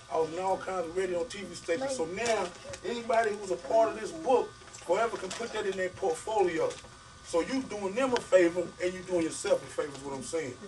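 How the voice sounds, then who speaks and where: Over noticeable background noise, a man with a high pitch speaks with big swings in loudness. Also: fairly quick pace. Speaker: author. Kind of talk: talk to an audience. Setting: bookstore event with audience. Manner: fast; casual, vernacular.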